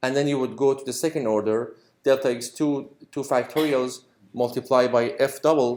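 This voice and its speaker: His voice sits at a medium pitch. The intonation stays monotone and flat. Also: moderate pace. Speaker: university lecturer. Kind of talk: lecture. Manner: halting.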